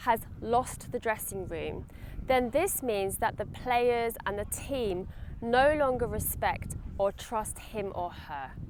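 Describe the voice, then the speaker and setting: This woman speaks very slowly in a British accent. Her fairly high voice makes very wide pitch swings. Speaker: English teacher. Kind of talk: English lesson to camera. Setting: outdoors at a stadium. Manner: friendly, clear.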